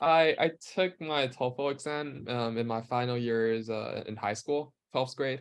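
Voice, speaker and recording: A man talks at a medium pitch and a fairly slow pace. His pitch variation is ordinary. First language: not English. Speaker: university student. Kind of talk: webinar Q&A. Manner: halting.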